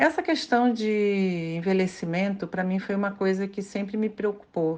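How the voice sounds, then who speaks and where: A woman speaks at a fairly slow pace with a medium pitch and ordinary pitch variation. The background is quiet. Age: 50s. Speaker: listener sending audio message. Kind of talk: voice message.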